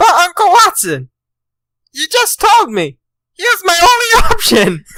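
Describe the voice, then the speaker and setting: A squeaky, put-on character voice pitched extremely high. Its pace is moderate. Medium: actual play.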